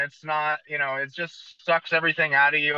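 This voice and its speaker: This man, with an American accent, talks at a fairly quick pace in a fairly high pitch with fairly even intonation. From US West Coast, San Jose, California. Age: 30s. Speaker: tattoo artist. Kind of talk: casual chat.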